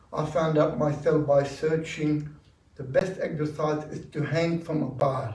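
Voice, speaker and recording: A man at a fairly high pitch, fairly even intonation and a fairly slow pace, with audible room echo. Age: 60s. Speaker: audience member at dharma talk. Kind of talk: audience Q&A sharing. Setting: meditation centre talk with audience.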